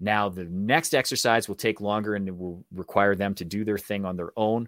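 A man talks fairly quickly at a fairly low pitch. The sound is dry and close with no echo, on a very clean recording with a silent background. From Canada. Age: 40s. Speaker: actor and public speaking coach. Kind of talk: interview. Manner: direct.

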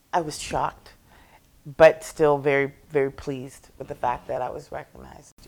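At a moderate pace, a woman with vocal fry speaks at a very deep, low pitch in a monotone, flat intonation. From Toronto, Canada. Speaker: singer-songwriter and worship leader. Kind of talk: casual interview.

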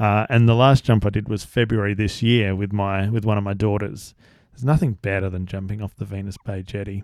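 On a very clean recording with a silent background, a man with an Australian accent speaks fairly quickly at a fairly low pitch. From South Australia. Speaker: podcast host. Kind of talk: casual monologue. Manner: hesitant with fillers.

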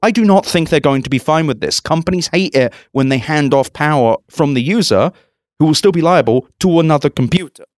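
In a plain, everyday voice, a man with fairly high pitch speaks with very even loudness and ordinary pitch variation. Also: fairly quick pace, dry, close sound with no echo, very clean recording, silent background. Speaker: tech podcast host. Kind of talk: casual chat. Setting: conference in Las Vegas.

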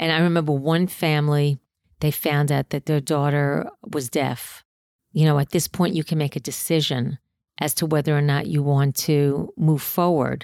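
A woman's very deep, low voice with a New York accent, moderate pace, fairly even intonation and very even loudness, on a very clean, dry, close recording with a silent background and no echo. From New York City, Queens. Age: 60s. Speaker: comedian. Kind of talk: casual chat. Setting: home.

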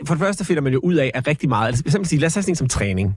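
A somewhat breathy man talks at a very fast pace. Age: 40s. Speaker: radio host and entertainer. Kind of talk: casual interview. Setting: studio.

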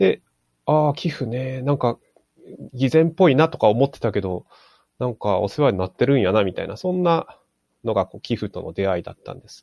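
A man uses an ordinary speaking voice at a medium pitch, with lively intonation and big swings in loudness. The sound is dry and close with no echo, over a quiet background. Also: fairly quick pace. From Japan, Aomori (Hirosaki). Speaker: fundraiser. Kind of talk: casual chat.

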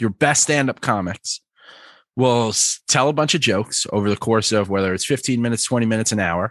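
In an American accent, a man with a plain, everyday voice speaks at a fairly quick pace with lively intonation, the sound dry and close with no echo and the background quiet. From New York. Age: 30s. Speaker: customer success manager and stand-up comic. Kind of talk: interview.

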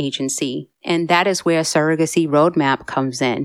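A plain, everyday voice from a woman, fairly low in pitch and moderate in pace, dry and close with no echo in a very clean recording with a silent background. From Massachusetts. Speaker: fertility consultant and podcast host. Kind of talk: personal story monologue.

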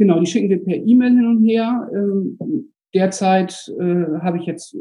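The man's voice shows ordinary pitch variation. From Bremen, northern Germany. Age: 40s. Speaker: school administrator and landlord. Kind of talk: casual chat.

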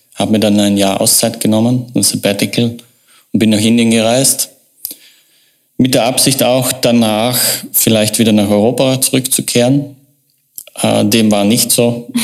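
A man's fairly slow, monotone, flat delivery with long, frequent pauses. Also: medium pitch for a man, very even loudness. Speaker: marketing agency owner. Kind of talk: interview. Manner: halting.

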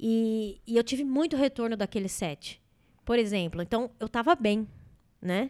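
In a plain, everyday voice, the speaker talks at a fairly slow pace with lively intonation, the sound dry and close with no echo on a very clean recording with a silent background. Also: woman, fairly high pitch for a woman. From Brazil. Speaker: comedian. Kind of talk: casual chat.

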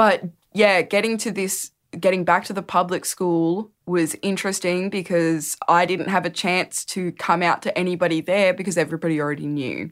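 On a very clean recording with a silent background, a woman with an Australian accent talks at a moderate pace in a medium pitch with fairly even intonation. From regional New South Wales, Australia (Dubbo). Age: 20s. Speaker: storyteller. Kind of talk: interview.

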